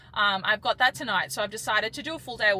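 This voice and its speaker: This woman speaks with an Australian accent. Her pace is very fast. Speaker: professional sprinter and vlogger. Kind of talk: vlog talking to camera.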